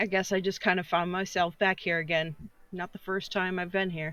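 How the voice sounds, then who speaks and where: A raspy, put-on character voice at middle pitch runs at a fairly quick pace with monotone, flat intonation. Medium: actual play.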